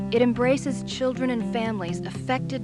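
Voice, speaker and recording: Music plays behind a woman as she talks. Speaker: voice talent. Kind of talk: fundraising video narration.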